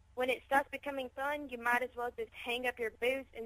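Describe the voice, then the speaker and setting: A woman with an American accent speaks at a moderate pace. Her tone is bright and sharp. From Chicago, later Mississippi. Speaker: professional wrestler. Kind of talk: radio interview.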